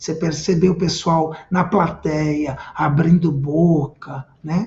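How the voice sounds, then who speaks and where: At a very slow pace, a man speaks in a high pitch with ordinary variation. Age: 50s. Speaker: communication trainer. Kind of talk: live-streamed lecture. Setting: live stream. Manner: animated.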